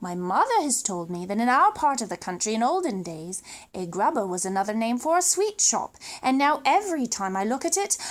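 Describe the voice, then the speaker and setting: A woman speaks with a British accent at a moderate pace. Her pitch swings very widely. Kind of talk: children's story read-aloud.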